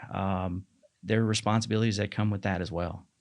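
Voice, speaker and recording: Here a man speaks in a plain, everyday voice. His pitch is fairly low and his intonation fairly even. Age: 40s. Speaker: marketing manager and fitness coach. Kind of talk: podcast interview.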